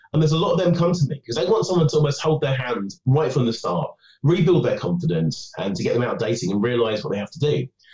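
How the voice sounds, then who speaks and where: With vocal fry and a dark, mellow tone, a man talks very fast at a fairly high pitch, his pitch swinging very widely and hardly any pauses breaking his speech. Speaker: dating coach and author. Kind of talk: interview.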